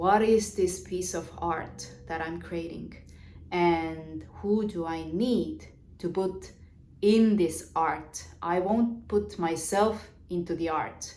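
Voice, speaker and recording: A woman with a fairly low pitch and a dark, mellow tone speaks at a very slow pace. Her pitch varies in an ordinary way, and room echo is audible. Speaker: business coach. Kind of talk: vlog monologue on business. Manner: halting, many fillers.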